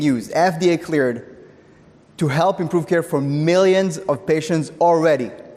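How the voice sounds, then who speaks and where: The delivery moves at a moderate pace. Its pitch varies in an ordinary way. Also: man. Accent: Israeli. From Israel. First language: Hebrew. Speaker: tech company CEO. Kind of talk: conference talk.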